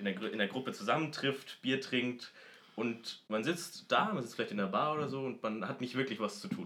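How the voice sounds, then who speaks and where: An unremarkable speaking voice from a medium-pitched man, with lively intonation and a fairly quick pace. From Munich, Germany. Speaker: podcast co-host. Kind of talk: casual chat.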